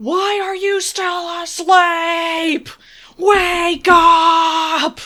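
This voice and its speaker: Someone shouts loudly in a put-on character voice at an extremely high pitch. The delivery is very slow. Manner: very loud, shouting.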